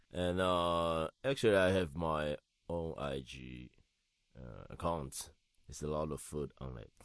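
With a Taiwanese accent, a man speaks very slowly in a very deep, low pitch, showing ordinary pitch variation and big swings in loudness. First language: Mandarin Chinese. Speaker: DJ and home cook. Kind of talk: casual interview chat. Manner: halting.

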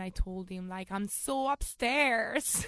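A woman talks in an Italian accent at a medium pitch. The background is quiet. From Italy. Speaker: volleyball coach and kombucha entrepreneur. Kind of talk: interview conversation.

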